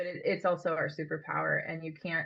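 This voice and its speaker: A woman speaks at a moderate pace with fairly even intonation. Hers is an ordinary speaking voice with a fairly low pitch. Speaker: microdosing coach. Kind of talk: webinar Q&A. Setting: video call.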